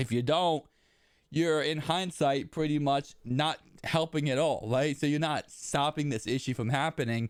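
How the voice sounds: The speech moves at a fairly slow pace with a clear, smooth tone, in a very clean recording against a silent background. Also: man, fairly high pitch for a man, ordinary pitch variation.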